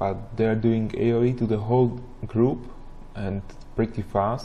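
Mumbling at a very slow pace, a man speaks in a somewhat breathy, medium-pitched voice with monotone, flat intonation. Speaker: gamer. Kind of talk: gameplay commentary.

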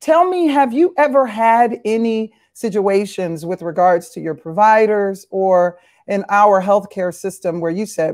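Over a quiet background, a woman speaks at a moderate pace with lively intonation and a warm, enthusiastic tone. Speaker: panel moderator. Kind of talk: moderated panel discussion. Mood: warm, earnest. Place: home room. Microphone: video call.

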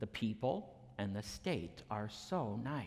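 The speaker is male. His pitch moves in a lively way. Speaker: minister. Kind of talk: sermon. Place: church.

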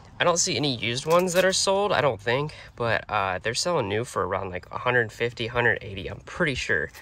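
A man's bright, sharp tone in a dry sound with no echo. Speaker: reseller vlogger. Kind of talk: casual vlog chat. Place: car. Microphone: phone near.

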